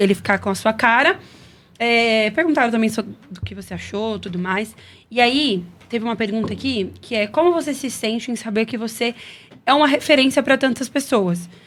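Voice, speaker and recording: A woman has an unremarkable speaking voice with fairly high pitch and ordinary pitch variation. She keeps a moderate pace in a very clean recording with a silent background. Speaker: podcast host, church member. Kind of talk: casual chat. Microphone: audio problems on stream.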